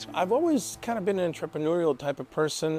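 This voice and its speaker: The speaker talks at a fairly quick pace with a Spanish accent and ordinary pitch variation. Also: man. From El Salvador. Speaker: business owner. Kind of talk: testimonial interview.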